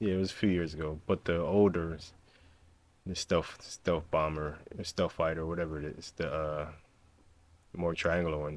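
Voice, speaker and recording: Fairly even intonation from a man with an American accent and a very deep, low pitch. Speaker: YouTuber reacting to a video. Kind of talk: casual reaction commentary. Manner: casual, rambling delivery.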